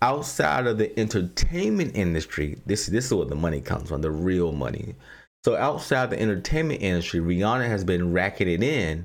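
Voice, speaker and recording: A man with a Southern US accent speaks at a moderate pace in a very deep, low voice with very wide pitch swings. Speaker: podcast host. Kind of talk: news commentary monologue.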